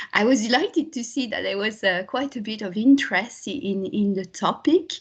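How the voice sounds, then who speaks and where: A woman with a French accent speaks at a moderate pace in a somewhat breathy voice, her pitch fairly high and her intonation lively. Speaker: linguistics lecturer. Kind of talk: academic talk.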